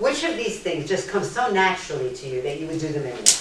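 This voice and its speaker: Noticeable background noise and audible room echo accompany a woman talking at a very fast pace with lively intonation. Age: 70s. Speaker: lecturer. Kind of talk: lecture. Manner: animated.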